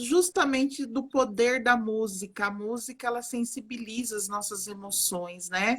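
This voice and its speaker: A woman with a fairly high pitch at a fairly slow pace. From Brazil, Alagoas (Northeast) mixed with interior São Paulo. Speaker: psychologist and art therapist. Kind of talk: live stream conversation. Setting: online live stream. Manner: warm, animated.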